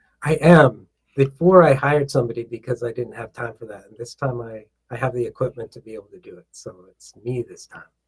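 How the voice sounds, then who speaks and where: Somewhat breathy and with big swings in loudness, a man speaks at a fairly quick pace and medium pitch with ordinary pitch variation. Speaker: author and self-love coach. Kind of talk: podcast interview. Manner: warm, conversational.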